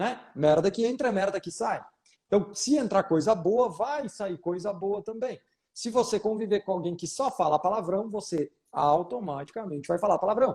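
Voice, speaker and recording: A man speaks in a high pitch with a Rio Grande do Sul accent. His intonation is lively and his pace moderate. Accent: Rio Grande do Sul (gaúcho). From Rio Grande do Sul, southern Brazil. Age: 30s. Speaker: photography business mentor, wedding photographer. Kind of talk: live Q&A coaching session. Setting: Instagram live video call. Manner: animated, informal.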